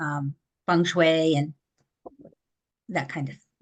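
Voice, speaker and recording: Her tone is bright and sharp, and this woman speaks at a fairly low pitch with flat, monotone intonation. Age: 70s. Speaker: speech pathologist. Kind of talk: casual interview.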